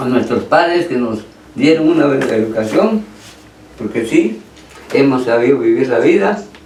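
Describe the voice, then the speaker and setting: Long, frequent pauses break up a man's medium-pitched speech, delivered at a moderate pace with lively intonation, amid audible room echo and noticeable background noise. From Guatemala, Petén. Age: 80s+. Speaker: brother of the honoree. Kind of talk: radio interview.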